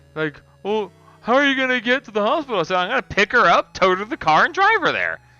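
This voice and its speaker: A man's extremely high-pitched voice at a very fast pace, with very wide pitch swings and music in the background. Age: 30s. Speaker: gaming streamer. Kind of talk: casual live stream commentary. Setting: live stream. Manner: casual, with fillers.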